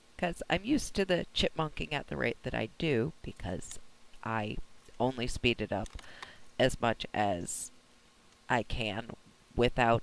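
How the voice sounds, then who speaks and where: A man speaks at a fairly slow pace with vocal fry. His intonation is lively, broken by long, frequent pauses. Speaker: vlogger and gameplay video creator. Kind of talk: casual vlog monologue.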